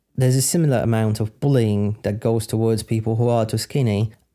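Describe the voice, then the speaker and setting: With a Polish accent, a man talks at a medium pitch in a dark, mellow tone on a very clean recording with a silent background. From Poland. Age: 30s. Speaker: podcaster. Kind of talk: Q&A monologue.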